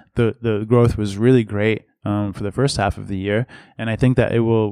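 A man with an American accent in a flat monotone, dry and close with no echo, on a very clean recording with a silent background. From Massachusetts, US. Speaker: company executive. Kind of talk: interview. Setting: conference venue. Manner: repetitive false starts.

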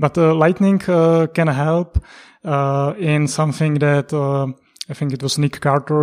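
A man at a fairly high pitch with ordinary pitch variation, over a quiet background. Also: dry, close sound with no echo. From Czech Republic. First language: Czech. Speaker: economics analyst. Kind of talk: interview. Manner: halting.

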